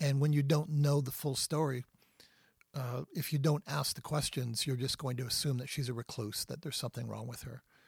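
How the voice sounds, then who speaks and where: At a fairly quick pace, a man with a medium pitch, vocal fry and fairly even intonation comes through a dry, close sound with no echo. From Canada. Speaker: Bible teacher. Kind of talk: teaching on faith and healing in a podcast interview.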